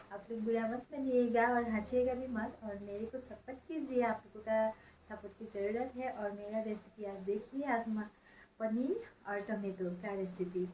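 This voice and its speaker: The voice has a dark, mellow tone, is somewhat breathy, and keeps a fairly even intonation. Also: woman, fairly high pitch for a woman. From Assam, India. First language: Assamese (speaking Hindi). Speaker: cooking vlogger. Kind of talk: vlog intro to viewers. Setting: kitchen.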